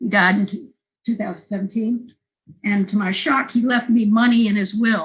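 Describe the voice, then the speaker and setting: A somewhat breathy voice with an American accent goes along at a moderate pace. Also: woman, fairly high pitch for a woman, ordinary pitch variation. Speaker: film interviewer and documentary maker. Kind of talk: oral history interview.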